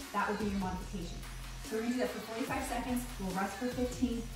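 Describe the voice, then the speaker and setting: A woman's voice with ordinary pitch variation, heavy room echo and clear music in the background. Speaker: fitness instructor. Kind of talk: workout instruction. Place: gym.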